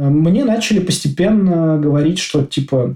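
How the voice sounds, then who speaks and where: A man's dark, mellow tone comes through somewhat breathy. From Russia, Moscow. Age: 30s. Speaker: IT developer. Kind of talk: casual interview.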